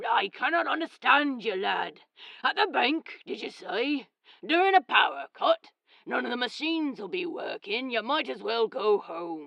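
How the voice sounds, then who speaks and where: A put-on character voice in a Scottish accent, fairly high, raspy and gruff, at a moderate pace with very wide pitch swings. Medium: read story. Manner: gruff, blunt.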